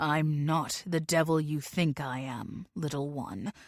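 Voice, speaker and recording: A put-on character voice sits at a middle pitch and moves at a fairly slow pace. The recording is very clean, with a silent background. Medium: read story. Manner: cold, menacing.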